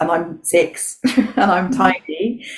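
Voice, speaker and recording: A woman speaks very slowly with lively intonation over noticeable background noise. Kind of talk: interview answer. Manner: casual, conversational.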